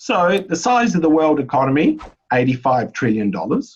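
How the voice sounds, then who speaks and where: With an Australian accent, a man speaks at a high pitch that moves through very wide swings. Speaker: economics presenter. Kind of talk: webinar lecture. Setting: online webinar.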